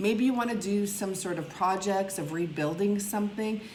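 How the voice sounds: Audible room echo surrounds a slightly mellow tone delivered at a moderate pace with ordinary pitch variation. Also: woman.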